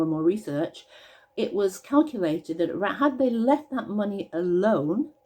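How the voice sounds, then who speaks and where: A woman with a British accent speaks with lively intonation and a dark, mellow tone. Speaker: pensions campaigner. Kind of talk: casual talk to camera.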